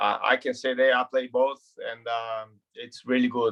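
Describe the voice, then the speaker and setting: A man with a Brazilian Portuguese accent at a moderate pace. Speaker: retired footballer. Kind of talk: interview. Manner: halting, repeats words.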